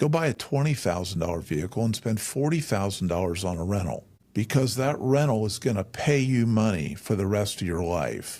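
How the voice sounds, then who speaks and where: The speaker's intonation is lively. The recording is very clean, with a silent background. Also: man. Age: 60s. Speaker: pastor. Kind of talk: interview. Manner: hesitant fillers.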